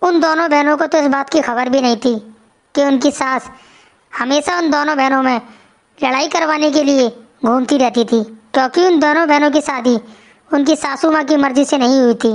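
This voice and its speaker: A woman's cartoonish character voice, high-pitched, at a moderate pace and very even loudness. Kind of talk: storytelling narration.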